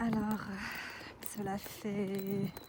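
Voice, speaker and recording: A woman speaks over noticeable background noise. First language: not French (speaking French). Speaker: vlogger. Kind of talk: casual vlog. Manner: halting.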